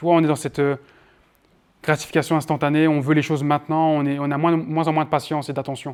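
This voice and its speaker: On a very clean recording with a silent background, a man with a fairly high pitch talks at a very fast pace in a monotone, flat intonation. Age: 20s. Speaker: marketing trainer. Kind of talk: workshop lecture with Q&A. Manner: loud.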